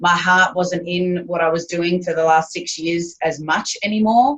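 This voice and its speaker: Speaking at a fairly slow pace, a woman with an Australian accent keeps a fairly low pitch and fairly even intonation. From Australia, Queensland. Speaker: business owner. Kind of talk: interview.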